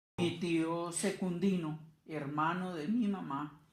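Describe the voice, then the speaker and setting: A woman speaks at a fairly low pitch with ordinary pitch variation. Audible room echo surrounds her voice. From Colombia, Cundinamarca (Chocontá). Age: 70s. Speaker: interviewee, grandmother. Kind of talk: interview. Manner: halting.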